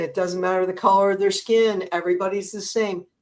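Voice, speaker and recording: Here is a normal speaking voice with an American accent. Its pitch varies in an ordinary way. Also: woman. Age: 60s. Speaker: podcast host. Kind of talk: interview. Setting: livestream.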